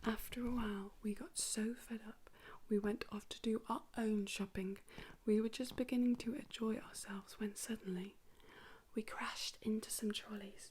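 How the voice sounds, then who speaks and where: A somewhat breathy woman speaks at a fairly high pitch with fairly even intonation. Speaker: ASMR creator. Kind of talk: whispered children's story reading to help sleep. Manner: whispered, soft, slow.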